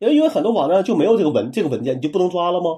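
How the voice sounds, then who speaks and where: With a dark, mellow tone, a man speaks at a high pitch, his voice swinging very widely. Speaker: tech podcast co-host. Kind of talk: casual chat.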